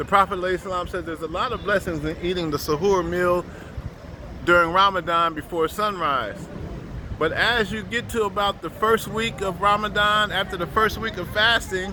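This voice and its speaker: A man's raised, projected voice, high in pitch, with fairly even intonation over noticeable background noise. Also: moderate pace. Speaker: Sufi spiritual teacher. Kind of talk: religious teaching talk.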